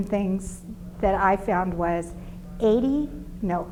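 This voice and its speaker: A woman's very slow speech with ordinary pitch variation, over noticeable background noise. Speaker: insurance sales rep. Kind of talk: business presentation.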